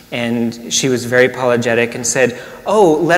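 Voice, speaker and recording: A man's medium-pitched voice shows ordinary pitch variation against noticeable background noise. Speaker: minister. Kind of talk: sermon.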